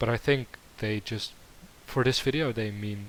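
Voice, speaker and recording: A man with a Dutch accent speaks at a very slow pace in a fairly low pitch with fairly even intonation. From Netherlands. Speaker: YouTube reactor. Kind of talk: reaction commentary. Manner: halting.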